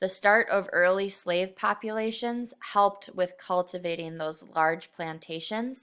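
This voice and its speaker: A woman with a bright, sharp tone talks at a fairly slow pace and medium pitch, with ordinary pitch variation, in a very clean recording with a silent background. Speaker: middle school teacher. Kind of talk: recorded lesson. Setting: screen recording.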